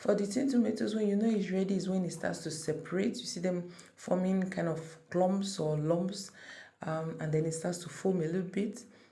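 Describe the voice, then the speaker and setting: Somewhat breathy and dark, mellow in tone, a woman's medium-pitched voice moves at a moderate pace amid audible room echo. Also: ordinary pitch variation. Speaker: cooking channel creator. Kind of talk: cooking tutorial. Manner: casual, conversational.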